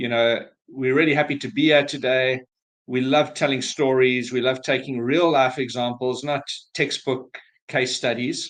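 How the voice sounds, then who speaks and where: With a South African accent, a man talks at a moderate pace and medium pitch in a monotone, flat intonation. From South Africa, Cape Town. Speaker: business valuation advisor. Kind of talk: webinar presentation. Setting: online webinar.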